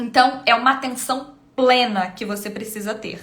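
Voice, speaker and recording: A woman speaks in a raised, projected voice, her high pitch carrying a bright, sharp tone. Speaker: temperament coach and live streamer. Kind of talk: live stream teaching. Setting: live stream.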